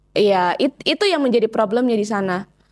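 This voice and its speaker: Over a quiet background, a woman uses a normal speaking voice, fairly high in pitch, at a fairly quick pace with ordinary pitch variation. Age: 20s. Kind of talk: testimony interview. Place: home room. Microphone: lapel.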